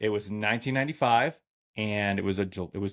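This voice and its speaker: The recording is very clean, with a silent background. In it, a man with a fairly low pitch and ordinary pitch variation talks at a moderate pace. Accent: American. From New England, US. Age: 30s. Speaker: podcast host. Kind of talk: casual monologue.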